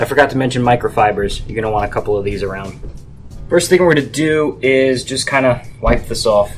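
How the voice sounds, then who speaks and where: A man speaks at a fairly quick pace with music in the background. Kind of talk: tutorial. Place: garage. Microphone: phone near.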